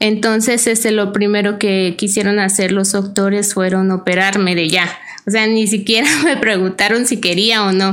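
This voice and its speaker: Over noticeable background noise and audible room echo, a woman speaks at a medium pitch with fairly even intonation. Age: 30s. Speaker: cancer survivor. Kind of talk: testimony. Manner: halting.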